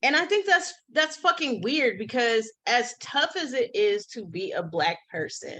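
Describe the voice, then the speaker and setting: High-pitched woman with a raised, projected voice, a bright, sharp tone and an animated tone, very wide pitch swings, a fairly slow pace and hardly any pauses. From United States. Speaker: podcast co-host. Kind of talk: casual chat.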